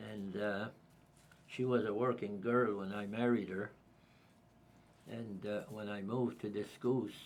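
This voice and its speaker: In a Cape Breton accent, a man talks at a fairly slow pace with a fairly low pitch, fairly even intonation, and long, frequent pauses. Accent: Cape Breton Acadian English. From Isle Madame, Cape Breton, Nova Scotia. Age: 80s+. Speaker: retired local resident. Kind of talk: casual chat. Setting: group conversation over lunch.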